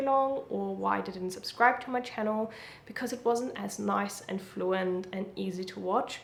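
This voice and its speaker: A woman with a German accent is heard with audible room echo and noticeable background noise. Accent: German accent, lighter than before. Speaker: YouTuber. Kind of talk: casual talk to camera, advice.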